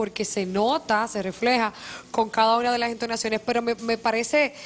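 A woman at a fairly high pitch, with little pitch movement and a moderate pace

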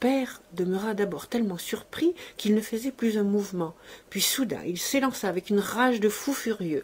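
Simple, plain reading aloud

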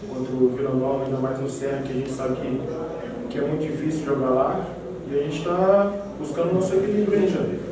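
A man at a very fast pace with long, frequent pauses, over noticeable background noise and strong room echo. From Brazil, Goiás (Jataí). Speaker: professional footballer. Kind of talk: press conference. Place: meeting room.

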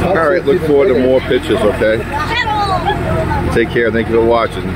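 Crowd noise fills the background as a man talks at a moderate pace, the sound dry with no echo. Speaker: fairgoer vlogger. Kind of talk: casual vlog chat. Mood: cheerful, playful. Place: farm machine. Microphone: phone near.

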